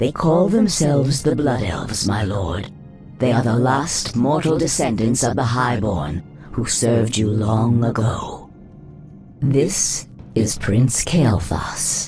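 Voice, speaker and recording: Clear music plays behind a man in a put-on character voice. He talks at a fairly slow pace and medium pitch. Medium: video game.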